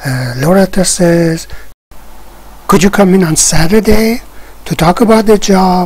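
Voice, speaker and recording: Very slow speech over noticeable background noise. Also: woman. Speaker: English teacher. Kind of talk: tutorial.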